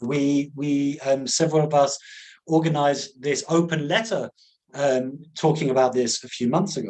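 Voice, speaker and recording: A man with an English accent, at a fairly high pitch and a fairly slow pace. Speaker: conservation scientist and activist. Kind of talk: webinar lecture. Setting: online webinar. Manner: slow, with many fillers and repetitions.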